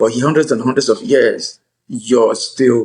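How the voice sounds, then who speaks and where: A man is speaking. He has an African accent. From Nigeria. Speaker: attorney and author. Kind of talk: interview.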